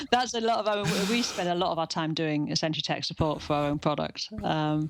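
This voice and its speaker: The speaker goes at a fairly quick pace with ordinary pitch variation over noticeable background noise. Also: woman, fairly low pitch for a woman. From northeast England. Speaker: web software company co-founder. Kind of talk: podcast interview.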